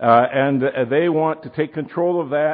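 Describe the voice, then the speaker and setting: A man talks with an Upper Midwest accent. His voice sits fairly high, with ordinary pitch variation. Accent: Upper Midwest American. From Wisconsin, Milwaukee. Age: old. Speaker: pastor and prophecy teacher. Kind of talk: sermon.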